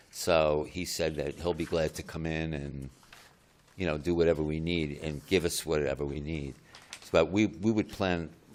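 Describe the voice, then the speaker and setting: At a moderate pace, a man talks with fairly even intonation and a very deep, low pitch. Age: 70s. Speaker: homeowner applicant. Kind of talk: public hearing testimony. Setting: municipal board meeting.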